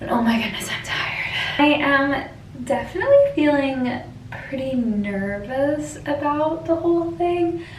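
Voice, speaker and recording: A woman's high voice with very wide pitch swings at a fairly slow pace, plus audible room echo and noticeable background noise. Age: 20s. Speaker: lifestyle vlogger. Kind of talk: casual vlog talk to camera. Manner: casual, filler-heavy (like, um).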